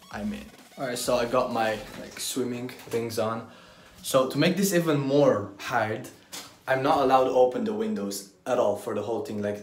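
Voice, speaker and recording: Big swings in loudness mark a man's speech with ordinary pitch variation, heard with audible room echo and light background noise. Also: moderate pace. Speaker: vlogger. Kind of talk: casual vlog chat. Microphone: phone near.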